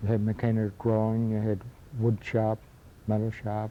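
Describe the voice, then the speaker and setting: A man with an American accent, fairly low-pitched, at a fairly slow pace. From western New York, Newstead/Akron area. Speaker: local elder, retired carpenter. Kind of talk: oral history interview. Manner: halting.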